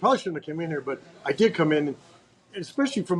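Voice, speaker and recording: Loud and high-pitched, a man speaks. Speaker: podcast host. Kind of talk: casual interview.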